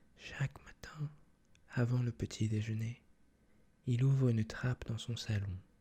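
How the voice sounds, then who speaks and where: A soft-spoken man whispers at a moderate pace. His voice is somewhat breathy. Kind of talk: reading a picture book aloud in French. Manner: soft-spoken, whispering.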